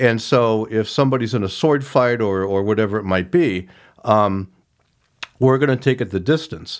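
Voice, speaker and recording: Recorded very cleanly against a silent background, a man with an American accent uses an ordinary speaking voice at medium pitch, with ordinary pitch variation and a moderate pace. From rural Ohio. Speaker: author. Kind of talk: casual interview.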